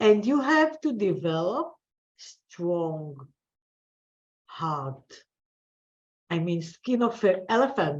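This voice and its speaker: A woman's very slow speech, with long, frequent pauses and very wide pitch swings. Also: medium pitch for a woman. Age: 60s. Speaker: business coach. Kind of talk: interview. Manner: halting.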